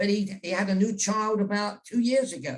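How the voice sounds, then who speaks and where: Speaking at a moderate pace, a man with a British accent has a high pitch. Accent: British, unchanged. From England. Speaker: journalist and author. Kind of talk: interview on virtual event. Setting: video call.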